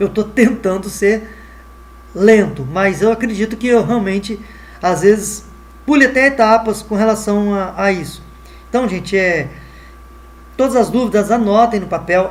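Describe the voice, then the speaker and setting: This man speaks fairly slowly, with long, frequent pauses. His pitch is high, with ordinary variation. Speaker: math teacher. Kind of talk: online lesson. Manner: halting, many fillers.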